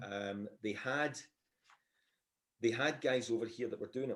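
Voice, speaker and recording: Speaking at medium pitch with ordinary pitch variation, a man talks in a Scottish accent. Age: 60s. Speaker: sports announcer. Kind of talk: casual chat.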